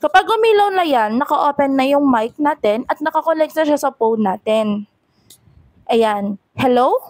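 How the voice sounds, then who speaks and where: Her tone animated, a woman speaks at a moderate pace and high pitch with very wide pitch swings, in a dry, close sound with no echo. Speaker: content creator and affiliate reviewer. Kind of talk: product review.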